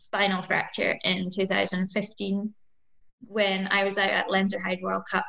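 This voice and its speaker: A woman speaks at a fairly slow pace in a bright, sharp tone with vocal fry, very even loudness and monotone, flat intonation. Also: medium pitch for a woman. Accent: Scottish. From Scotland. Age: 20s. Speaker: mountain bike racer. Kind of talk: interview.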